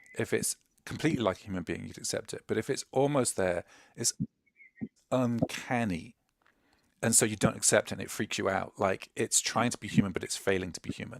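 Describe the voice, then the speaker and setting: With an English accent and a medium pitch, a man speaks at a fairly quick pace with long, frequent pauses, the sound dry and close with no echo. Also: ordinary pitch variation. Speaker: UX expert. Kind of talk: casual panel chat.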